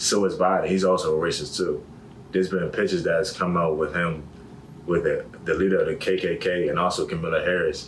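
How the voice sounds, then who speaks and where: With audible room echo, a man in an American accent talks at a very fast pace with very even loudness. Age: 20s. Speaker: college student. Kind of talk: interview.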